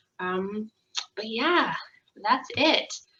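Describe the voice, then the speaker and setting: A woman speaks loud, at a fairly high pitch. Her tone is bright and sharp. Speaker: social worker. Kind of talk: recorded wellness presentation. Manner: casual, filler-heavy.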